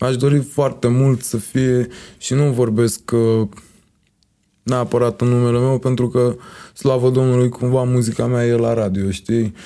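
With a dark, mellow tone and medium pitch, a man speaks at a fairly slow pace in a flat monotone, his loudness very even. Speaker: music producer and singer. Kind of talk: casual chat.

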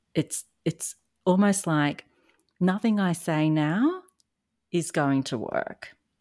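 In an Australian accent, a woman with a very deep, low pitch and ordinary pitch variation is heard on a very clean recording with a silent background and a dry, close sound with no echo. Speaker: narcissistic abuse recovery coach. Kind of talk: casual interview chat.

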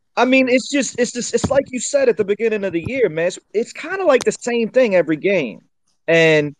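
At a fairly quick pace, a man with a high pitch speaks with very wide pitch swings, the sound dry and close with no echo. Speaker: caller, sports fan. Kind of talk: casual chat. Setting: live online audio room.

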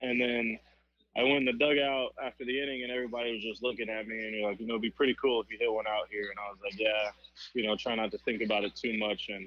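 A man speaks with an American accent at a very fast pace. His delivery is monotone and flat. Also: medium pitch for a man. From Miami, Florida. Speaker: baseball player. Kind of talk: interview. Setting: phone call.

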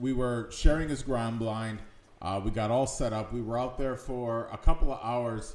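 Recorded with audible room echo, a man with an American accent and medium pitch talks at a fairly slow pace. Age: 40s. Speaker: podcast host. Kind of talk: casual chat.

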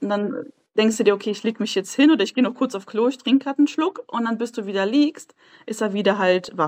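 A woman's fairly high voice at a very fast pace, dry and close with no echo. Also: ordinary pitch variation. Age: 20s. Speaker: mother sharing her experience. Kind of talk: casual interview chat.

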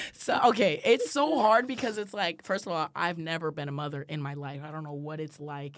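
A woman's very deep, low voice at a fairly quick pace with hardly any pauses, lively intonation and big swings in loudness, in a very clean recording with a silent background. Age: 20s. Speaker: college student podcast co-host. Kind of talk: casual chat.

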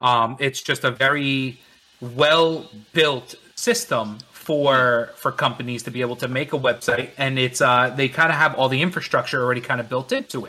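Intonation stays fairly even in an American accent. Noticeable background noise is present. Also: man, medium pitch for a man, moderate pace, hardly any pauses. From New Jersey, Bergen County. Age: 30s. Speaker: small business owner. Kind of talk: casual chat.

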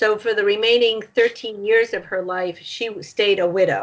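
A woman with an American accent, her fairly high voice held to fairly even intonation. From US Northeast (Nashua, New Hampshire). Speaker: author and family historian. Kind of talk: interview.

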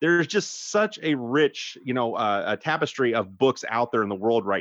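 Over a quiet background, a man with an American accent speaks at a medium pitch with very wide pitch swings. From US, Idaho. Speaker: novelist. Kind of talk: casual interview. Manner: halting, many repeated words.

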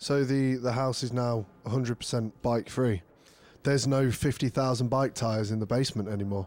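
A man with an unremarkable speaking voice talks at a moderate pace and a medium pitch, his intonation fairly even. The recording is very clean, with a silent background. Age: 30s. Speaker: podcast guest. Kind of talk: casual chat.

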